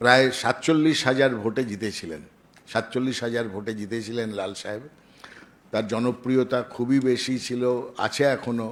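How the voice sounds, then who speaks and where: His intonation stays fairly even. The man's pitch sits in the medium range. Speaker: party leader at press conference. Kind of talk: press conference statement. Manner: halting.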